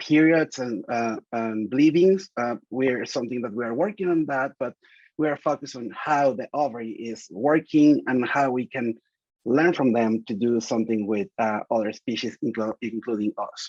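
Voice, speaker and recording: Speaking with a Spanish accent at a moderate pace, a man uses a medium pitch and ordinary pitch variation in a dry, close sound with no echo. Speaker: reproductive biology researcher. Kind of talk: seminar interview. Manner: halting, many fillers and restarts.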